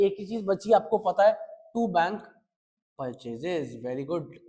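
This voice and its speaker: With music in the background, a man speaks in an animated tone with a high pitch and lively intonation. His loudness swings widely, and he takes long, frequent pauses. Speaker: accountancy teacher. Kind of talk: lecture.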